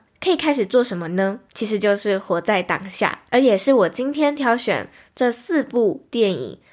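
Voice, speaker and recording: In a very clean recording with a silent background, a woman with a plain, everyday voice and a fairly high pitch talks at a fairly slow pace with lively intonation. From Taiwan. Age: 20s. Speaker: podcast host. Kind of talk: solo podcast monologue, movie recommendations. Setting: recorded livestream.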